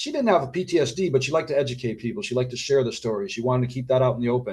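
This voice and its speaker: A man talks very fast at a medium pitch with ordinary pitch variation. His voice is somewhat breathy. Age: 60s. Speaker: author and doctor. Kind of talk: interview.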